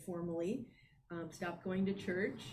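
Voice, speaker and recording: Somewhat breathy, a woman speaks at a medium pitch with fairly even intonation. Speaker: Buddhist priest and teacher. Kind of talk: dharma talk conversation.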